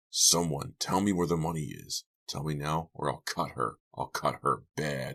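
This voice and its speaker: In a put-on character voice, a man growls at a very deep, low pitch with ordinary pitch variation and a moderate pace. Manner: furious, threatening.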